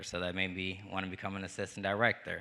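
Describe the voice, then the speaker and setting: In a monotone, flat delivery, a man speaks with a very deep, low pitch. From Gary, Indiana. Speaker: producer and actor. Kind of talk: panel discussion.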